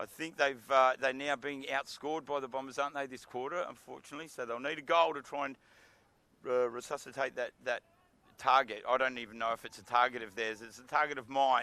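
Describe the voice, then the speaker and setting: With an Australian accent, a man of medium pitch speaks at a fairly quick pace in a bright, sharp tone, his loudness swinging widely. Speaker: football commentator. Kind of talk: live commentary. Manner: animated.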